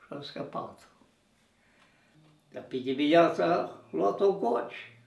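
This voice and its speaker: There is audible room echo as a man speaks at a fairly slow pace. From Transylvania, Romania. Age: 80s+. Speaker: war veteran. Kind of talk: interview storytelling.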